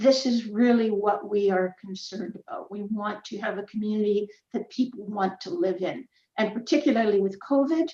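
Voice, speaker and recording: A woman with a Canadian accent speaks at a moderate pace in a fairly high, somewhat breathy voice with a dark, mellow tone and ordinary pitch variation. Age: 70s. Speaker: community association representative. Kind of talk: public hearing statement. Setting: online hearing.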